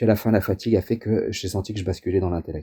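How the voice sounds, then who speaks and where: A man's fairly low, somewhat breathy voice, dark and mellow with fairly even intonation, sounds dry and close with no echo in a very clean recording with a silent background. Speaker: astrologer. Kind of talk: interview. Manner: fast; hesitant, repeats words.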